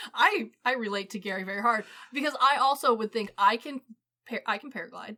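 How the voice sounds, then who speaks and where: A woman speaks at a fairly quick pace in a fairly high, bright, sharp voice, animated in tone, with ordinary pitch variation and big swings in loudness. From US Midwest, Missouri (Ozarks family). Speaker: podcast co-host. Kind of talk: casual chat.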